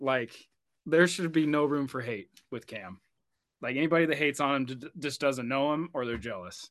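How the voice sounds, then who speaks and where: An ordinary speaking voice from a man with an American accent, fairly high in pitch with ordinary variation, comes at a moderate pace over a quiet background. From Oregon, US. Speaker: firefighter and endurance runner. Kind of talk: casual interview chat.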